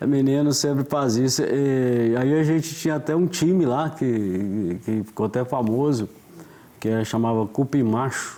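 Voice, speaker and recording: In a normal speaking voice, a man talks at a fairly slow pace with medium pitch, ordinary pitch variation and very even loudness. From Minas Gerais, Brazil (Florestal). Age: 60s. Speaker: author. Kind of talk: casual interview.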